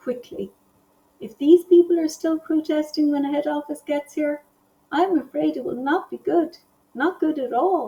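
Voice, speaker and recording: A woman puts on a squeaky, high-pitched character voice with a nervous tone. She talks at a moderate pace. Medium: read story.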